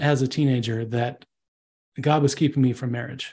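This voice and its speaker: This man's voice sits fairly high and sounds somewhat breathy. He speaks at a moderate pace. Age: 30s. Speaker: advertising copywriter. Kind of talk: interview.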